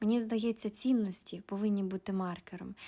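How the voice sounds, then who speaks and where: At a moderate pace, a woman speaks in a dark, mellow tone at a medium pitch with fairly even intonation. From Ukraine, Volyn region. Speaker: video blogger. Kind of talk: personal monologue.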